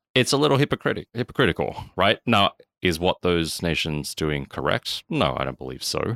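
Over a silent background in a very clean recording, a man with an Australian accent speaks at a moderate pace in a very deep, low voice with vocal fry and very wide pitch swings, the sound dry and close with no echo. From Australia, Sydney. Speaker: productivity and systems consultant. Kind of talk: casual interview chat.

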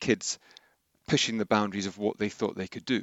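A man's fairly low voice with a southern English accent. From southern England, Henley. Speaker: outdoor education director. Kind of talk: interview. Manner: halting.

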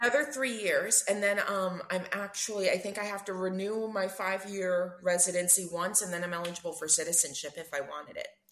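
Against noticeable background noise, a woman with an East Coast US accent and a medium pitch talks at a fairly quick pace with ordinary pitch variation and hardly any pauses. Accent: American East Coast. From US East Coast, New Jersey. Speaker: expat guest. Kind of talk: casual interview chat.

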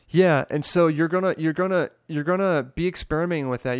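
On a very clean recording with a silent background and a dry, close sound with no echo, a man with an unremarkable speaking voice talks at a fairly quick pace with fairly even intonation. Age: 20s. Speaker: singer and recording artist. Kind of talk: casual chat.

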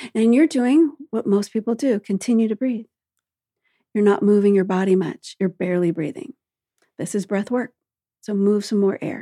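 Pausing long and often, a woman speaks at a medium pitch with ordinary pitch variation, a calm, soothing, dark and mellow tone, and a dry, close sound with no echo. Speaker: breathwork coach. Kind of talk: guided breathwork meditation. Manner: calm, slow, rhythmic counting cadence; soothing, instructive.

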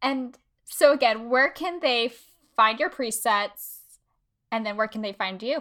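Over a very clean, silent background, a woman with an American accent speaks at a fairly slow pace in a fairly high, bright, sharp voice, with ordinary pitch variation and long, frequent pauses. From Texas and Kansas City. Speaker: podcast host, influencer consultant. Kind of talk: casual interview chat.

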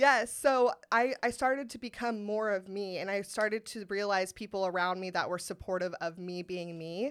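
A woman with an American accent speaks in a plain, everyday voice at medium pitch. She keeps a moderate pace on a very clean recording with a silent background. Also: ordinary pitch variation. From US West Coast, Sacramento. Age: 30s. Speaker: comedian. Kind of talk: casual chat.

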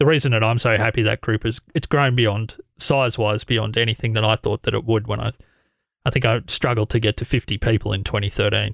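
A man with an Australian accent and vocal fry, fairly quick and fairly even in intonation, dry and close with no echo. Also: medium pitch for a man. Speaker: podcast host and editor. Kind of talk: casual interview. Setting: video call. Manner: fast talker.

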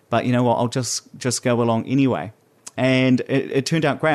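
A man with a New Zealand accent talks at a fairly quick pace against a quiet background. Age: 20s. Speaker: podcast host. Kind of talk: solo podcast monologue.

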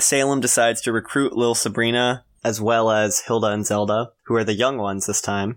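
A man's medium-pitched voice, monotone and flat, at a fairly quick pace with very even loudness, in a very clean recording with a silent background. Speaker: podcast co-host. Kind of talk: casual chat.

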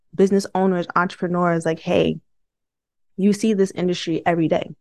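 A woman with an American accent, fairly low in pitch and monotone, with flat intonation. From Brooklyn, New York. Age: 30s. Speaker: organizational psychologist. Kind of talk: interview.

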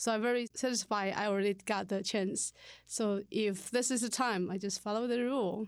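Recorded very cleanly against a silent background, a woman with a Chinese accent speaks at a fairly high pitch, with fairly even intonation and very even loudness. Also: moderate pace. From Taiwan. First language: Mandarin Chinese. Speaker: language teacher. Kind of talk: casual interview.

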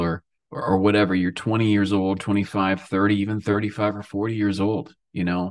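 On a very clean recording with a silent background, a man with an American accent talks at a moderate pace in a fairly low pitch. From US, coastal Oregon. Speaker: drummer and record producer. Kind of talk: interview, casual chat.

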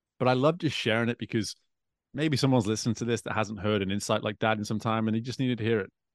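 A man with a northwest English accent talks at a very fast pace, with a medium pitch and fairly even intonation. The recording is very clean, with a silent background. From northwest England. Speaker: swim coach and executive coach, author. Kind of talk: casual podcast interview.

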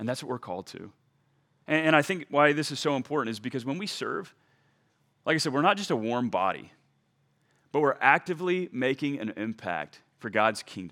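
A man speaks at a fairly quick pace with a fairly high pitch, lively intonation, and a bright, sharp tone with vocal fry. He leaves long, frequent pauses in a very clean recording with a silent background. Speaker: pastor. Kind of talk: sermon. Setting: church.

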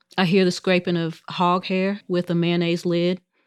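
With a quiet background and a dry, close sound with no echo, a woman speaks at a fairly low pitch. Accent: American. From rural US South. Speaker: food equity educator. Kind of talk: casual chat.

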